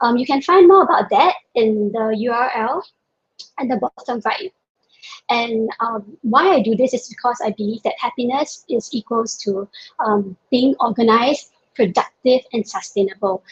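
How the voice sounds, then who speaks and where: Her intonation is lively. The woman speaks at a high pitch. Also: moderate pace, dry, close sound with no echo. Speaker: productivity workshop presenter. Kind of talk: webinar presentation. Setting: video call.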